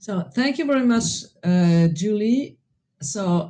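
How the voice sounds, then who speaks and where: A woman's somewhat breathy, dark, mellow voice at a very slow pace with very wide pitch swings. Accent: French. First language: French. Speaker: presenter. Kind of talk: presentation.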